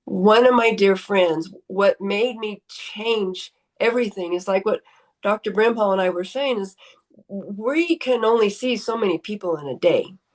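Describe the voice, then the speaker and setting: A woman's fairly high voice, a normal speaking voice, at a fairly slow pace with ordinary pitch variation. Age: 60s. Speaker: chiropractor. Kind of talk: testimony.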